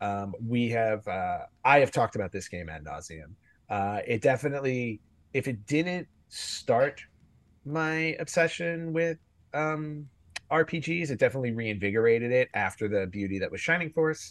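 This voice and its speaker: Over a quiet background, a man speaks at a moderate pace. His pitch swings very widely. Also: medium pitch for a man. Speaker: podcast host. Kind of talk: casual chat. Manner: mellow.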